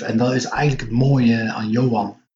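Talking fairly slowly, a man keeps his intonation fairly even as audible room echo rings around him. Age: 50s. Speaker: comic book writer and publisher. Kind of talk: casual interview.

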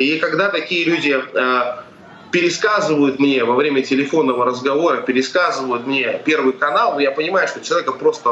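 Speaking at a fairly quick pace, a man with a fairly high pitch and ordinary pitch variation is heard amid noticeable background noise and audible room echo. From Russia. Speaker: activist. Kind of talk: live interview.

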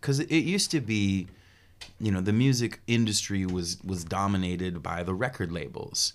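A man with an American accent speaks in a normal speaking voice at a fairly low pitch. His intonation is lively and his pace moderate. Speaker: musician and music promoter. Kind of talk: casual interview. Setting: studio.

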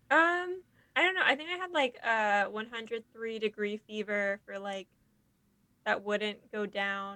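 With a bright, sharp tone and fairly high pitch, a woman speaks at a fairly slow pace, her intonation lively and her loudness swinging widely. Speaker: podcast co-host. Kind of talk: casual chat.

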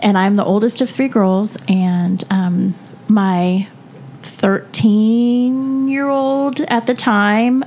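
A woman speaks with an American accent and ordinary pitch variation over noticeable background noise. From California. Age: 40s. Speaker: podcast host. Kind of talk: casual chat. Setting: home basement studio.

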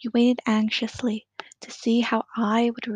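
Quiet surroundings and an unforced reading voice

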